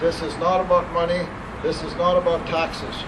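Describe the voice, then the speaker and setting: Room echo is audible. Background noise is noticeable. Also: man. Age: 60s. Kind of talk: public speech.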